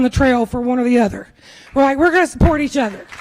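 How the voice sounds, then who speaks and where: A woman speaks loudly at a very fast pace in a Kentucky accent. Noticeable background noise runs underneath. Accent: Kentucky Southern US. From Kentucky, Washington County. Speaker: political candidate and school teacher. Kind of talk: campaign speech. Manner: loud, projecting.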